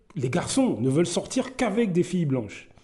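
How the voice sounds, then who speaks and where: A man with a high pitch and a dark, mellow tone speaks with very wide pitch swings. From Martinique, raised in the north by grandmother. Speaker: commentary YouTuber. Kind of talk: personal commentary monologue. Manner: hesitant, many fillers.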